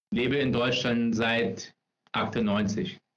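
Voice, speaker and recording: A man talks very slowly, his medium pitch moving with ordinary variation. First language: English (speaking German). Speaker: personal branding specialist. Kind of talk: interview. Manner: halting, many fillers. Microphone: no headphones, echo in recording.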